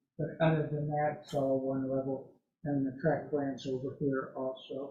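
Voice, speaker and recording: Audible room echo surrounds a voice that stays monotone and flat. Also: man, fairly high pitch for a man, moderate pace. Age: 70s. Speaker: model railroad hobbyist presenter. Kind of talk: presentation.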